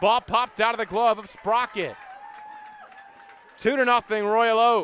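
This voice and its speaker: A man with a high pitch and a raised, projected voice, dry and close with no echo, over noticeable background noise. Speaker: baseball play-by-play broadcaster. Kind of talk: live baseball play-by-play call.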